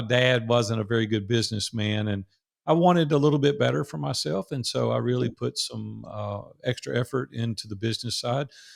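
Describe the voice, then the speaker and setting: This man speaks with a Southern US accent. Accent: Southern drawl. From US South, Nashville, Tennessee. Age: 60s. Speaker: entrepreneur. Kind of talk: interview storytelling.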